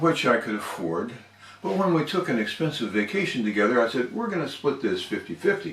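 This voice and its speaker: A man speaks at a fairly quick pace and medium pitch, his pitch swinging very widely. Noticeable background noise runs underneath. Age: 60s. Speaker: toastmasters member. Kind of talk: storytelling speech.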